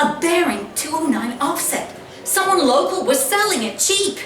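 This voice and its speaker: Over noticeable background noise, a woman with an extremely high pitch talks at a fairly slow pace with lively intonation. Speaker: actress. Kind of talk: live short story reading. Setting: live event in a pub.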